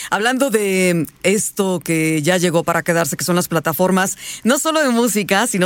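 This woman has an unremarkable speaking voice, and her lively intonation goes along with a moderate pace. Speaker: radio host. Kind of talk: casual chat.

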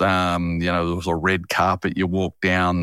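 This man has a very deep, low voice and an Australian accent, speaking at a moderate pace in a flat monotone. The sound is dry and close, with no echo. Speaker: podcast host. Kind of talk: interview. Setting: remote recording.

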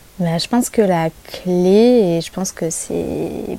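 Noticeable background noise runs through this clip. Through it, a woman talks with a fairly low pitch. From Paris region, France. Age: 30s. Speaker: photographer. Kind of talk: casual interview.

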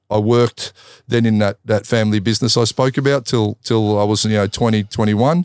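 Fairly low male voice with an Australian accent, fairly quick and fairly even in intonation, very even in loudness, dry and close with no echo, in a very clean recording with a silent background. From Australia, Melbourne. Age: 50s. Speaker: Muay Thai kickboxer and fight commentator. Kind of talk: casual interview.

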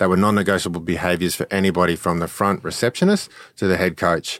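A man with a very deep, low voice speaks at a fairly quick pace in an Australian accent. The recording is very clean and dry, with a silent background and no echo. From Australia, Brisbane. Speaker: former Olympic rower and LinkedIn consultant. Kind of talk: casual interview.

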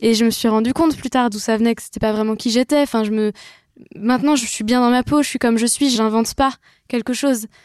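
An ordinary speaking voice: a woman with a fairly high pitch and fairly even intonation talks at a fairly quick pace in a dry, close sound with no echo. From western France (Brittany and Vendée). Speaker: singer-songwriter. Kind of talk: casual chat.

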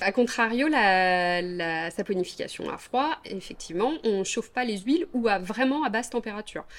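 At a moderate pace with hardly any pauses, a woman speaks in a fairly high pitch with lively intonation. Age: 40s. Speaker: soap maker. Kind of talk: interview. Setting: at her home. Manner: hesitant, many fillers.

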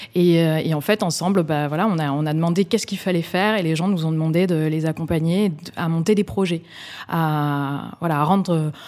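A woman with an unremarkable speaking voice talks at a moderate pace and fairly low pitch, her intonation fairly even. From Bordeaux, France. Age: 30s. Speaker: social entrepreneur. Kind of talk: interview. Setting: office.

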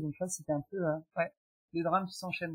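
A woman's fairly low, somewhat breathy voice with fairly even intonation. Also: dry, close sound with no echo. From France. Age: 40s. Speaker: guest sharing perinatal loss story. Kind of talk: testimony.

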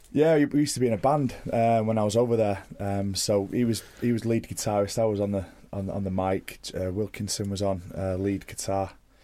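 A man with a Mancunian accent speaks at a fairly low pitch in a dark, mellow tone. He goes at a fairly quick pace with hardly any pauses and ordinary pitch variation. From Manchester, England. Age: 30s. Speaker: professional rugby player. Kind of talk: casual interview. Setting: studio.

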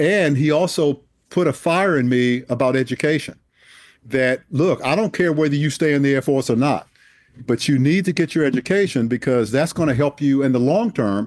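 An unremarkable speaking voice from a man with an American accent, fairly high in pitch, moderate in pace, with ordinary pitch variation, in a very clean recording with a silent background. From Washington, D.C. (Southeast, inner city). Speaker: retired air force general and author. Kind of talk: interview.

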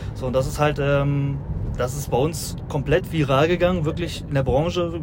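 A man with a fairly high pitch speaks at a moderate pace with ordinary pitch variation, amid audible room echo and noticeable background noise. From Rhineland, near Düsseldorf. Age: 20s. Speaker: haulage business owner. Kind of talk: casual chat. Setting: in a moving electric car.

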